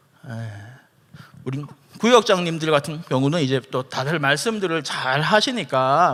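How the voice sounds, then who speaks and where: At a fairly slow pace, a man talks in an animated tone that sounds bright and sharp. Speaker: pastor. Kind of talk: church seminar lecture.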